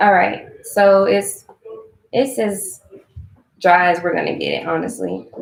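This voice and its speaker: This is a woman speaking. Her pace is fairly slow. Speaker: vegan cooking creator. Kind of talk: live-stream cooking tutorial. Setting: live stream. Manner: casual, chatty.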